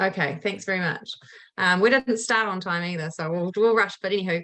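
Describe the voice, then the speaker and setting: A woman's medium-pitched voice moves along at a fairly quick clip. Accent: New Zealand. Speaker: community organisation chairperson. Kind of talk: council submission presentation. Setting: council meeting. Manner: fast.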